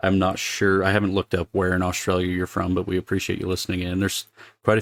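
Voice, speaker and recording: A man's very deep, low voice at a very fast pace. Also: dry, close sound with no echo, very clean recording, silent background. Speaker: podcast host. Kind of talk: casual podcast monologue. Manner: halting.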